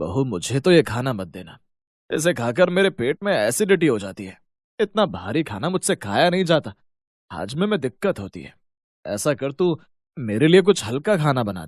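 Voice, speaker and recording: A man puts on a character voice, rumbling at a medium pitch. He moves at a moderate pace with very wide pitch swings. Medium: cartoon. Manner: grumbling, complaining.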